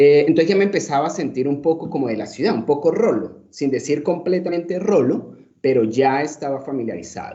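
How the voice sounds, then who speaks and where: A Cúcuta accent with very wide pitch swings, audible room echo and noticeable background noise. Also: man. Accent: Cúcuta Colombian. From Colombia, Cúcuta (born Caracas, Venezuela). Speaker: social psychologist, lecturer. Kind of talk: lecture. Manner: hesitant, many fillers.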